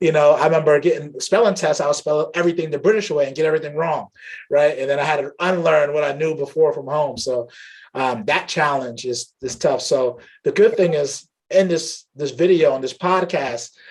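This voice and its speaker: A man with a plain, everyday voice speaks at a fairly quick pace and a fairly high pitch, with ordinary pitch variation. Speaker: tech channel host. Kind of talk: interview host talk.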